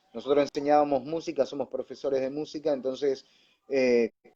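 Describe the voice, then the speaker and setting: The tone is dark and mellow, with a monotone, flat intonation. The pace is fairly slow. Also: man. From Buenos Aires suburbs, Argentina. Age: young. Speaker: pastor and radio announcer. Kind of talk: interview answer.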